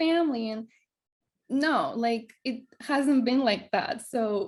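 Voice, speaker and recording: A Greek accent with ordinary pitch variation. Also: woman. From Greece. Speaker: wellness coach. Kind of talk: casual chat. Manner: halting.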